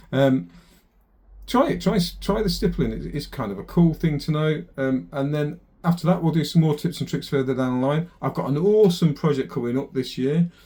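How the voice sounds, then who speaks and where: A man with a Lancashire accent mumbles in a fairly high, somewhat breathy voice. His tone is dark and mellow, and his intonation is lively. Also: fairly quick pace. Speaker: airbrush artist. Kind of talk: tutorial. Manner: mumbling; casual, hesitant.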